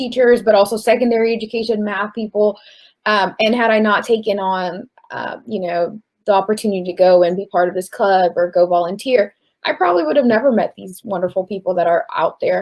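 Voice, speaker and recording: A woman talks at a fairly quick pace and a medium pitch. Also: ordinary pitch variation. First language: not English. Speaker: college student. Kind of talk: panel discussion.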